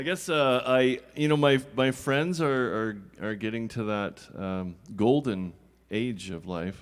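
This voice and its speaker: At a fairly slow pace, an unremarkable speaking voice carries lively intonation. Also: man, medium pitch for a man. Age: 50s. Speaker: friend introducing a performer. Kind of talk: speech introducing a performer.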